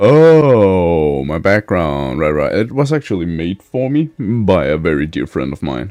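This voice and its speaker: A man with a Danish accent speaks in a very deep, low voice, with very wide pitch swings and hardly any pauses. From Denmark. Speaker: streamer. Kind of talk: live game stream chat. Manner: halting.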